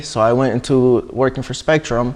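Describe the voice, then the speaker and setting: A man with an American accent speaks at a moderate pace. His medium-pitched voice is an unremarkable speaking voice. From Washington state, US. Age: 20s. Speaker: siding contractor. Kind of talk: interview.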